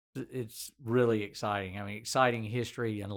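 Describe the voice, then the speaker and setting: Here a man talks at a moderate pace in a Southern US accent. The recording is very clean, with a silent background. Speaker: physician and podcast host. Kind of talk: casual interview.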